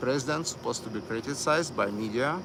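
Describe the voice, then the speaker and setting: Amid noticeable background noise and audible room echo, a man with a Russian accent speaks at a medium pitch. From Miami. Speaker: live streamer. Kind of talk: live stream commentary. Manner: halting, many fillers.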